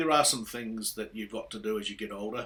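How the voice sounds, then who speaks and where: A man speaks at a fairly quick pace with a medium pitch. He has a New Zealand accent. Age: 60s. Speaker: motorcycle vlogger. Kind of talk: casual vlog monologue. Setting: riding a motorcycle outdoors. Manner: hesitant, many fillers.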